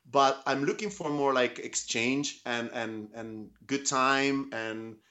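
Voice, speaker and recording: A man talks with ordinary pitch variation. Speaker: tattoo artist. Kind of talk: interview. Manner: halting.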